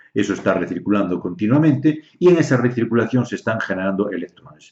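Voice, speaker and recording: A man is speaking. His intonation is lively. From Galicia, Spain. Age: 60s. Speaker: naturopath and dowser. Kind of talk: explanatory talk on health. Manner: hesitant, many fillers.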